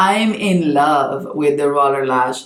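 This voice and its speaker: A woman's very deep, low voice at a very slow pace, lively in intonation, with audible room echo. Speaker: beauty youtuber and makeup artist. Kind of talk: casual product review talk to camera.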